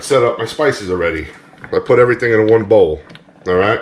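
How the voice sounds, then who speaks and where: Noticeable background noise runs under this recording. A man speaks with a New England accent. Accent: Yankee. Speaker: cooking channel host. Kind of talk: tutorial. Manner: casual, upbeat.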